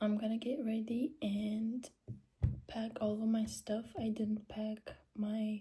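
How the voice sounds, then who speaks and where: Somewhat breathy, this voice has a dark, mellow tone. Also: woman. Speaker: vlogger. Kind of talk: casual vlog narration.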